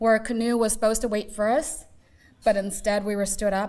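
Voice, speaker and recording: Delivered fairly quickly, the speech shows ordinary pitch variation. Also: woman. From Seattle, US (Laotian refugee family). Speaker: community speaker. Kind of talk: personal testimony talk.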